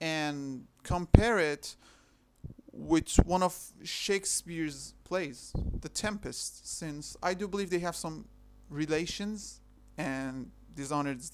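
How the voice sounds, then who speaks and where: The speaker, with a non-native accent, talks at a very slow pace with long, frequent pauses. The recording is very clean, the background silent. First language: not English. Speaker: video essayist. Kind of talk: video essay narration. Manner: halting.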